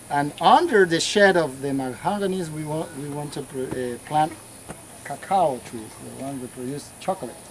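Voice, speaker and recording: Amid noticeable background noise, a man with a fairly high pitch talks at a moderate pace, showing ordinary pitch variation and big swings in loudness. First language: Spanish. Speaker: local church worker and farmer. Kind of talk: guided tour explanation. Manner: halting.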